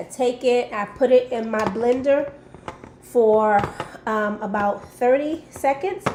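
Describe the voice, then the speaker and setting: Fairly even intonation from a woman, set against noticeable background noise. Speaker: lifestyle vlogger. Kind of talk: recipe tutorial. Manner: casual, hesitant with many ums.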